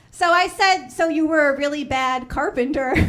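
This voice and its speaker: A woman's high-pitched voice in a Chicago accent, lively in intonation and fairly slow in pace, with audible room echo. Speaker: stand-up comedian. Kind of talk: stand-up. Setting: stage with audience.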